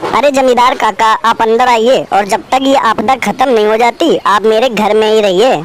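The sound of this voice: A female-sounding, cartoonish character voice with a fairly high pitch. She talks at a moderate pace over clear background noise.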